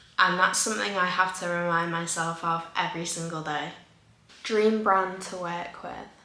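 Here a woman speaks in a fairly low voice at a moderate pace, with fairly even intonation. Her loudness swings widely, and room echo is audible. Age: young. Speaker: content creator. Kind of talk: casual Q&A vlog. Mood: relaxed, chatty. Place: home room.

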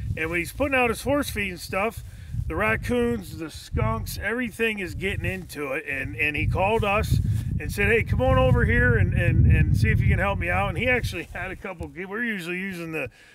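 Over loud background noise, a man talks at a fairly quick pace, the sound dry with no echo. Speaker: trapper show host. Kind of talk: outdoor show commentary to camera. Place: open country. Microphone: lapel.

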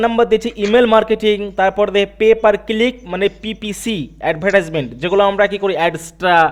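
Male speech, high in pitch, with fairly even intonation. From India. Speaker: online digital marketing instructor. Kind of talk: online class / webinar. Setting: online video meeting.

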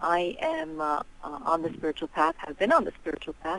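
A woman speaks in a very deep, low pitch, with a dry sound and no echo. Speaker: radio caller. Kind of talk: call-in question.

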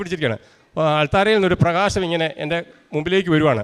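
This man talks in a high register for a man, and his pitch varies in an ordinary way. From Kerala, Idukki district (Kattappana). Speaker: rubber tapper giving a religious testimony. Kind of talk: testimony.

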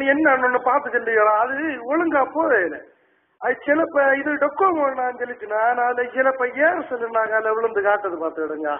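In a Kanyakumari accent, a man talks with lively intonation at an extremely high pitch. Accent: Kanyakumari Tamil dialect. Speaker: prank caller. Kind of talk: prank phone call. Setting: phone line. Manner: rambling, chatty. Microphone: phone line.

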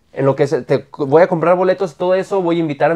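A man speaks at a high pitch. His pace is fairly quick and his intonation fairly even. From Mexico, Aguascalientes. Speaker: event photographer, podcast co-host. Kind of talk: casual chat.

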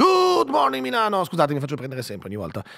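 Shouting in an animated way, a man with a bright, sharp tone is heard against a quiet background. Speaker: radio host. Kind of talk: casual chat. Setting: studio. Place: studio. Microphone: studio mic.

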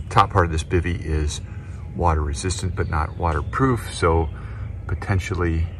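A man with a very deep, low pitch talks at a moderate pace with ordinary pitch variation. Noticeable background noise sits behind a dry sound with no echo. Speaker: gear owner reviewing tents. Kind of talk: casual gear overview. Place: forest. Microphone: phone near.

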